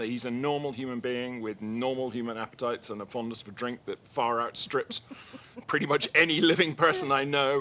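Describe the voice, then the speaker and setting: With an English accent, a man talks at a fairly quick pace in a bright, sharp tone at medium pitch. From Liverpool, England. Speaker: documentary filmmaker. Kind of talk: interview. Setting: live media room at festival.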